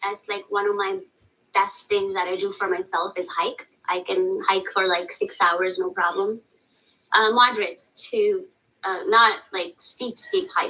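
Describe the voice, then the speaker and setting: A woman speaks at a fairly slow pace. She has a non-native accent. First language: not English. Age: 30s. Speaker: teacher seeking counseling. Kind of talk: counseling session.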